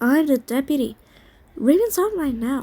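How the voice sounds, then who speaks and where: A woman speaks softly in a put-on character voice pitched high. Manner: murmuring.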